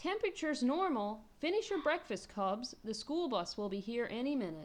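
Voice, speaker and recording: A female-sounding put-on character voice, high-pitched, with very wide pitch swings at a moderate pace. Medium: read story. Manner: calm, practical.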